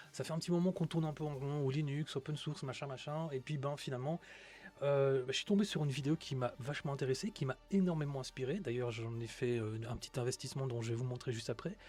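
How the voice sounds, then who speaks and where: Over background music, a man with a Belgian accent talks at a very fast pace in a fairly high pitch with ordinary pitch variation. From Belgium. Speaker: tech streamer. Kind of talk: live stream talk. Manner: hesitant, many fillers.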